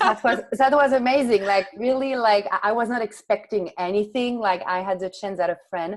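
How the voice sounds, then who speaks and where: A woman with a French accent talks at a fairly quick pace with ordinary pitch variation. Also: fairly high pitch for a woman, hardly any pauses. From France, Paris. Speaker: author and entrepreneur. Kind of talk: interview conversation.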